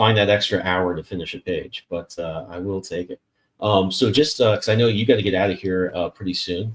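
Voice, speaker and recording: In a normal speaking voice, a man with fairly low pitch talks at a fairly quick pace with fairly even intonation. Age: 40s. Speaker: podcast host and comic artist. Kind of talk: casual interview chat.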